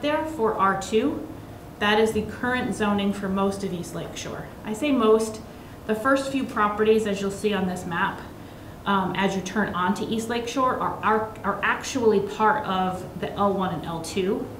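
Recorded with audible room echo and light background noise, a woman talks at a moderate pace with ordinary pitch variation. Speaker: presenter. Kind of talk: public meeting presentation. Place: meeting room. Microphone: podium.

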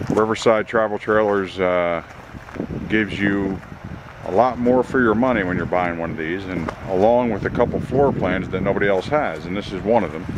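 A man at a moderate pace, in a dry sound with no echo, with noticeable background noise. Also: ordinary pitch variation. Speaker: camper salesman. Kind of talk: sales walkaround commentary. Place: street. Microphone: phone near.

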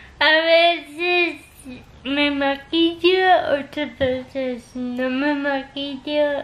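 A woman's high-pitched voice at a very slow pace, with fairly even intonation. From Costa Rica. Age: 20s. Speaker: vlogger. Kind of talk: casual talk to camera. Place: home room. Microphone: phone near.

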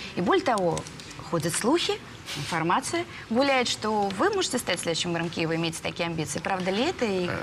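Speech comes at a fairly quick pace broken by long, frequent pauses, with noticeable background noise behind it. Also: woman, medium pitch for a woman. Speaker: TV news presenter. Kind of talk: news interview. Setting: studio. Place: studio. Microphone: lapel.

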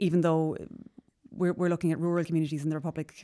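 A woman talks very fast in an Irish accent, her pitch very deep and low. Her intonation is flat and monotone. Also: quiet background. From Ireland. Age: 30s. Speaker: politician. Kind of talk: interview. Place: studio. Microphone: studio mic.

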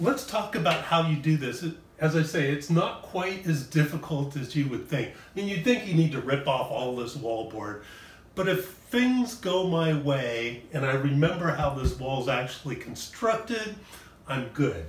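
Speech at a moderate pace carries audible room echo. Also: man. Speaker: presenter. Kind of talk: tutorial. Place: home room.

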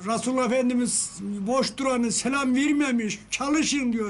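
A man speaks at an extremely high pitch. His pitch variation is ordinary. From Karapınar, Konya, Turkey. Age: 70s. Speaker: saddler. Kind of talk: interview answer. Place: workshop.

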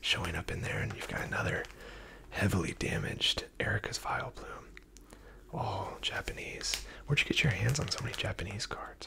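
Someone whispers softly at a fairly quick pace over noticeable background noise. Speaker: card collector reviewer. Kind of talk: casual commentary. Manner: soft close ASMR whisper. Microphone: phone near.

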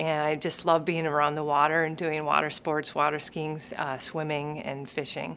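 Woman with an American accent, very deep, low pitch and a bright, sharp tone. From Minnesota. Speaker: sports medicine physician. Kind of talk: interview answer. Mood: warm, friendly. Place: office.

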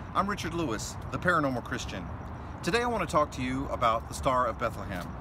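A man talks at a very fast pace. The sound is dry with no echo, over noticeable background noise. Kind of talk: devotional talk to camera. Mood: warm, festive, earnest. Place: street. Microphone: phone near.

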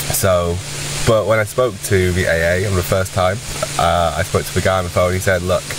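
Loud background noise accompanies a man speaking at a moderate pace in a dry sound with no echo. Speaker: vlogger. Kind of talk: casual vlog chat. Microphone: webcam.

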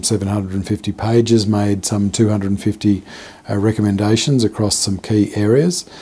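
A man talks at a fairly low pitch with fairly even intonation. It is an ordinary speaking voice. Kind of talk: media statement. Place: office.

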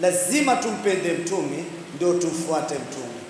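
Audible room echo and light background noise surround a man speaking at a fairly slow pace. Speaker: religious preacher. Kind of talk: sermon. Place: hall. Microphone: handheld.

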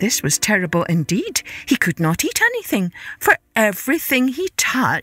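The clip features a natural reading voice.

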